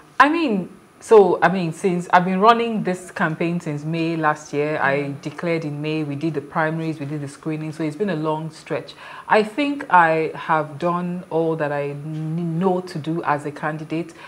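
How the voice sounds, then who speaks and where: Using a Nigerian accent, a woman talks at a moderate pace with a fairly low pitch and fairly even intonation. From Nigeria (Lagos). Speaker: political candidate. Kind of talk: TV panel interview. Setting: studio. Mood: earnest, emotional. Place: studio. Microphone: lapel.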